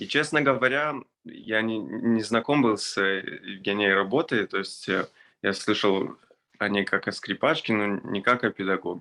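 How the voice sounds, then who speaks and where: A man with a slight non-native accent speaks at a moderate pace, fairly low in pitch with ordinary pitch variation. His tone is bright and sharp against a quiet background. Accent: slight foreign accent in Russian. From Israel. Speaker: orchestral violinist. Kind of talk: testimony. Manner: halting, many fillers.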